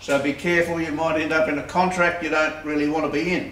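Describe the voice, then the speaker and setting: Audible room echo and light background noise surround the voice. The man's pitch varies in an ordinary way. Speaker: presenter. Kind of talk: tutorial. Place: workshop. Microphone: camera far.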